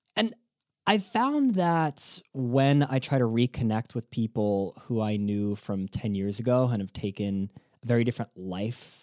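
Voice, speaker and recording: An ordinary speaking voice with lively intonation, a dry, close sound with no echo, and a very clean recording with a silent background. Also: man. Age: 20s. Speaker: podcast host. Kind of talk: scripted narration; interview.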